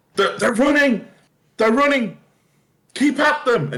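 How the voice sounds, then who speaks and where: This put-on character voice sounds shaky. It moves at a fairly slow pace. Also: man, extremely high pitch for a man. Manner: urgent, commanding, exhausted.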